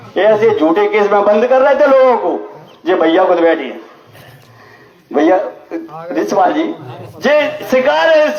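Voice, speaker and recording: The room echo is audible. There is noticeable background noise as well. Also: man. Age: 70s. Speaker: lawyer and community politician. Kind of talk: public speech at community gathering. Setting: community gathering at temple with audience. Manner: forceful, rousing.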